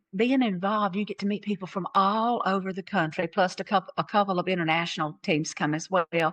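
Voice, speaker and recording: A woman talks at a fairly quick pace in a Southern US accent. Her pitch sits in the medium range with ordinary variation. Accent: Southern American. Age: 60s. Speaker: transplant recipient and donation advocate. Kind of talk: personal testimony. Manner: animated.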